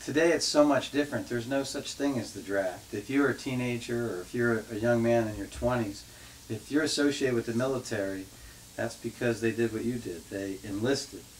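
With a plain, everyday voice, a man talks at a fairly quick pace in a medium pitch with ordinary pitch variation over light background noise. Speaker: interviewer. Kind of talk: interview question. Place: home room.

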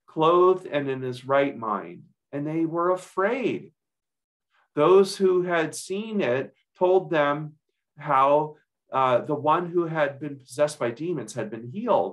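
A man's lively intonation at a very slow pace against a quiet background. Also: fairly high pitch for a man. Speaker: pastor. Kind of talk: scripture reading. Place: home room. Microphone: webcam.

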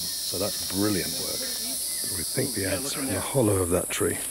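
Over loud background noise, a man speaks at a moderate pace with a dry sound and no echo. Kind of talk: casual vlog chat. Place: forest. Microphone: phone near.

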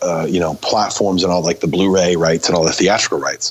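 Noticeable background noise sits behind a man's voice. He speaks with a very deep, low pitch and fairly even intonation. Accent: American. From US Northeast, Maine. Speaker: film director and hardcore musician. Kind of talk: casual interview.

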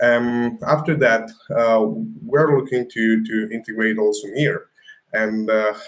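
A man with an Italian accent at a fairly slow pace. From Italy. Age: 20s. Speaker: crypto startup founder; guest. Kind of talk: interview. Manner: halting. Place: home room.

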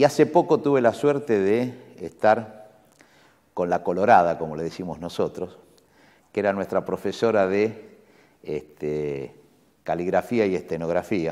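Long, frequent pauses break up a man's fairly slow speech, delivered at a fairly low pitch in a dark, mellow tone. His intonation is lively, and the background is quiet. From Buenos Aires, Argentina; Argentina. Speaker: university rector; interviewee. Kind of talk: interview. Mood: warm, reflective, nostalgic. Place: office. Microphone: lapel.

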